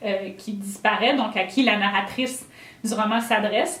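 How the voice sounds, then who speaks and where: A woman talks in a Quebec accent. Noticeable background noise and audible room echo surround her. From Quebec, rural south. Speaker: novelist. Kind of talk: author talk. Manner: halting, many fillers.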